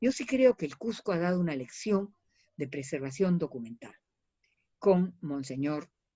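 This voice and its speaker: Her pitch swings very widely. A woman is speaking. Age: 70s. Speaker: historian and archives advocate. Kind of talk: interview. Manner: animated.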